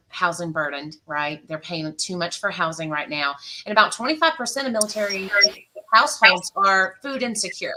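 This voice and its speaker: At a moderate pace, a woman with a bright, sharp tone speaks with very wide pitch swings. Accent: Georgia. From US South, South Georgia. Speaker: financial counselor and military spouse. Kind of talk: casual panel chat. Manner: many fillers (um, uh).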